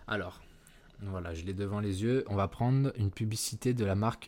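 The very clean recording, with a silent background, captures a man speaking at a fairly low pitch. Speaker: podcast host and ad agency founder. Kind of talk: solo podcast tutorial. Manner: unscripted, with hesitations and stumbling.

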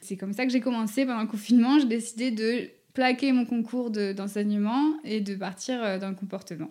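Speaking at a moderate pace, a woman uses a dark, mellow tone at a fairly high pitch, with ordinary pitch variation. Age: 20s. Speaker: dog behaviour consultant. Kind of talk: casual chat. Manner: halting.

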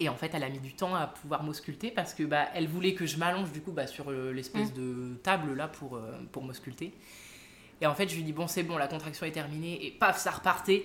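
This woman's pitch is very deep and low. It varies in an ordinary way. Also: fairly quick pace. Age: 20s. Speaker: nurse and twin mother sharing IVF story. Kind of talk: interview testimony. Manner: hesitant, many fillers.

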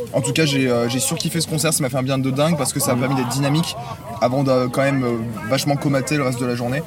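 A man speaks at a very fast pace and medium pitch, with monotone, flat intonation. Audible room echo and noticeable background noise surround him. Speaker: music webzine contributor. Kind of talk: casual chat. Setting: inside a tent at a festival campsite.

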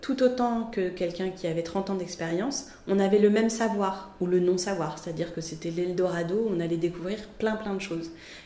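Audible room echo and noticeable background noise accompany a woman talking at a moderate pace. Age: 40s. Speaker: freelance art director and graphic designer. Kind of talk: interview.

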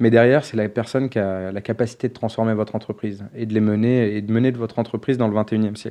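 Hardly pausing, a man rattles along at a very fast pace in a monotone, flat intonation. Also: medium pitch for a man. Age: 30s. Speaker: diversity nonprofit founder. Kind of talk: podcast interview. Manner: hesitant, many fillers.

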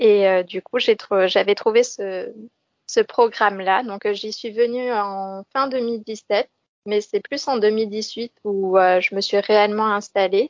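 Very slow, fairly even speech from a woman with a fairly high pitch. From France, Lorraine near Metz. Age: 20s. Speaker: former civic service volunteer living abroad. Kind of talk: interview. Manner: halting, with repetitions and fillers.

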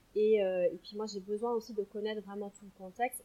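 A woman speaks at a moderate pace in a medium pitch with a dark, mellow tone. Her intonation is monotone and flat. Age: 30s. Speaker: sophrologist and perinatal coach. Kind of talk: interview; guided relaxation exercise.

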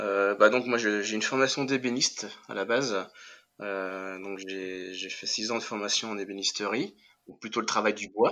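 At a fairly slow pace, a man with a fairly low pitch and a bright, sharp tone speaks with fairly even intonation and big swings in loudness. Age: 30s. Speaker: cabinetmaker and interior decorator, entrepreneur. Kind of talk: interview. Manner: hesitant, many fillers and repetitions.

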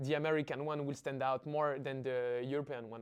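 Over a quiet background, a man speaks with a French accent. His pitch is fairly high and his pace fairly quick. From Paris, France. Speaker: startup founder. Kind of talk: interview.

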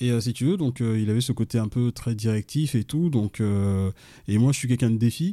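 At a moderate pace with hardly any pauses, a man speaks at medium pitch in a dark, mellow tone, with ordinary pitch variation and very even loudness, in a very clean recording with a silent background. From Mali, then France from age 15. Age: 40s. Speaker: police officer and author. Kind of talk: interview. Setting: at guest's home. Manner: hesitant, filler-heavy.

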